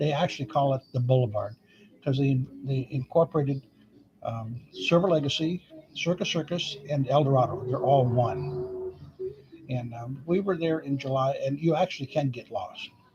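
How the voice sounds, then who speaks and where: A man speaks at a fairly high pitch. Noticeable background noise runs beneath him. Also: ordinary pitch variation, moderate pace. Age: 70s. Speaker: vlogger. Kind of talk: casual chat. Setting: live stream. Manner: halting.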